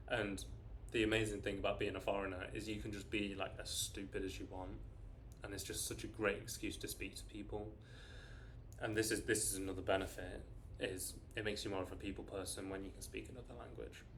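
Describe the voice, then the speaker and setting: This man talks at a very fast pace with a British accent. Room echo can be heard. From Britain. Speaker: vlogger. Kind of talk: casual talk to camera. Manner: casual, with fillers and restarts.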